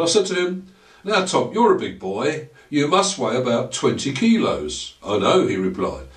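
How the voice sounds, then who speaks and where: Fairly high-pitched man at a fairly slow pace with very wide pitch swings, audible room echo and noticeable background noise. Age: 60s. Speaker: maths educator. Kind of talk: lecture. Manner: formal.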